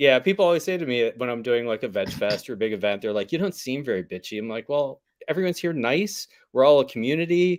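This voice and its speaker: A man with an American accent and an unremarkable speaking voice talks at a fairly quick pace with lively intonation and medium pitch. The recording is very clean, with a silent background. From Pittsburgh, Pennsylvania. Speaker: vegan food business owner and podcaster. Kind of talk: casual chat.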